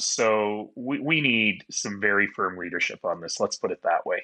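Putting on a raspy character voice, a man speaks at a moderate pace and medium pitch, with a dry, close sound with no echo and a quiet background. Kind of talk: interview answer. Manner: firm, emphatic.

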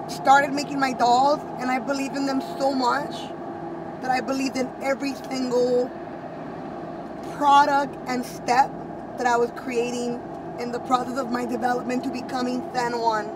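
A woman at a moderate pace with long, frequent pauses, a dry sound with no echo, and noticeable background noise. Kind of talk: casual vlog chat. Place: car.

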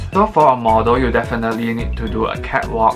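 A man talks at a moderate pace. Music plays loudly behind him. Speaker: audition tips vlogger. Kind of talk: tutorial. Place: home room.

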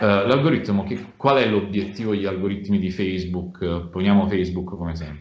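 Speech at a fairly quick pace rings with audible room echo. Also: man, fairly low pitch for a man, ordinary pitch variation. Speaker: communications director; speaker. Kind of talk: online seminar talk. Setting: video call. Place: home room. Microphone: video call.

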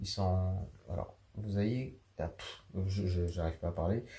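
A man speaks at a very slow pace in a very deep, low pitch. His voice is somewhat breathy, with a dark, mellow tone. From New Caledonia. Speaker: drawing teacher. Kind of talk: tutorial. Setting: at home on a sofa. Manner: halting.

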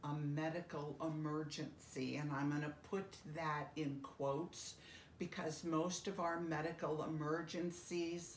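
Amid audible room echo and light background noise, a woman with a very deep, low pitch speaks at a very slow pace. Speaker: end-of-life educator. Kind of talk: educational talk to camera. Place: home room. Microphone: phone near.

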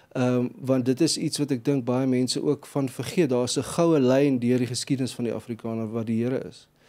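Over a quiet background, a man speaks in a dark, mellow tone with fairly even intonation. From South Africa. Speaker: gospel singer-songwriter; guest. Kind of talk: interview. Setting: studio. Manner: halting. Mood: calm, reflective. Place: studio. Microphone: studio mic.

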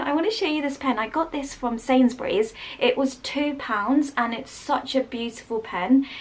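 A woman with a British accent and a high pitch. She speaks at a fairly slow pace. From England. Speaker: lifestyle vlogger. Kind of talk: casual vlog. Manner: animated. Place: home room. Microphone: phone near.

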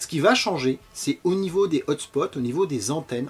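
Lively intonation marks this man's speech, delivered at a moderate pace. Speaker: presenter. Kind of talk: explainer lecture.

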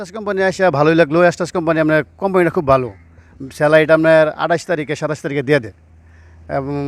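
On a very clean recording with a silent background, a man has an ordinary speaking voice, fairly high in pitch with ordinary pitch variation. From Bangladesh, Mymensingh (Bhaluka). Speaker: migrant worker, driver. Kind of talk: interview.

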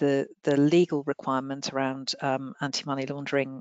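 The speech moves at a moderate pace. The sound is dry, with no echo. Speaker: regulatory standards head. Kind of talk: Q&A answers. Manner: halting. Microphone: headset.

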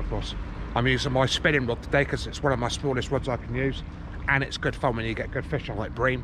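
Against noticeable background noise, a man speaks at a very fast pace with fairly even intonation and a dry sound with no echo. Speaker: fishing vlogger. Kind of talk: casual vlog chat. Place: waterside. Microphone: phone near.

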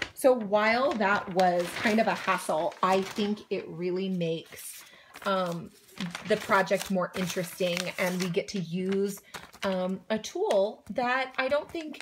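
A woman is speaking, with noticeable background noise behind her. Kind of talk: tutorial. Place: home room. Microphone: phone near.

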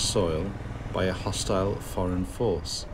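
The speech moves at a very slow pace against noticeable background noise. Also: man. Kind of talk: travel commentary. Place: motorbike. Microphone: helmet.

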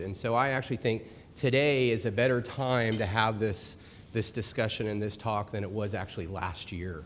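An ordinary speaking voice moves at a fairly quick pace over light background noise. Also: man. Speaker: presenter. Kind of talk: presentation talk. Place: hall.

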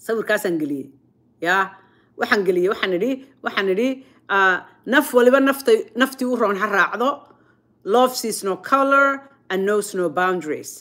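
At a fairly slow pace, a woman with a fairly high pitch uses lively intonation and a bright, sharp, animated tone over a quiet background. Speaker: online show host. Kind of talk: casual vlog monologue.

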